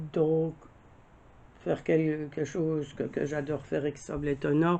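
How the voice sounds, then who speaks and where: A woman with a very deep, low pitch speaks at a very slow pace. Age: 60s. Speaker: crafts vlogger. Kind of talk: casual monologue answering tag questions. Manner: halting, many fillers.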